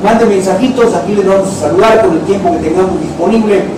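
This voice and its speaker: A man talks at a moderate pace, his pitch high for a man with ordinary variation. Noticeable background noise and audible room echo surround the voice. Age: 60s. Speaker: internet show host. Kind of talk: live talk show. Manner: animated.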